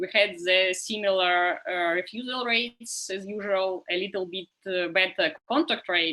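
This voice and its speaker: A woman with a Russian accent, bright and sharp in tone, medium in pitch, at a fairly slow pace with hardly any pauses. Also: ordinary pitch variation. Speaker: survey researcher. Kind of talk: conference panel talk. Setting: video call. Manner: halting, many fillers.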